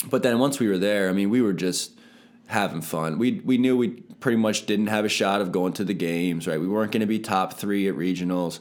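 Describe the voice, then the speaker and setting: In a very clean recording with a silent background, a man with an ordinary speaking voice and an American accent talks at a fairly quick pace, his fairly low pitch showing ordinary variation. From Pennsylvania (Palmyra). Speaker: personal trainer. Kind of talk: testimony.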